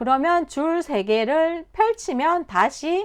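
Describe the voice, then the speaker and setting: A woman is speaking. The background is quiet. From Korea, Busan. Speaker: instructor. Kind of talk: tutorial.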